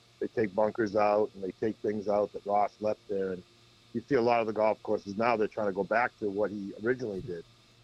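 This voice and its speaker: With a Boston accent, a man of fairly low pitch talks at a fairly quick pace in monotone, flat intonation. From Massachusetts, north of Boston (Peabody). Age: 50s. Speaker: golf professional. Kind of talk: casual chat. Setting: phone call.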